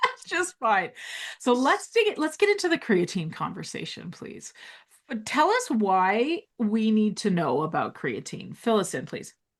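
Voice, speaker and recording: A woman talks fairly slowly, with only a quiet background behind her. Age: 40s. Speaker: women's health doctor and podcast host. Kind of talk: casual interview chat. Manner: animated.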